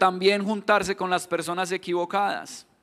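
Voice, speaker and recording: A man with a Colombian accent speaks in a bright, sharp tone. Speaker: pastor. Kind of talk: sermon.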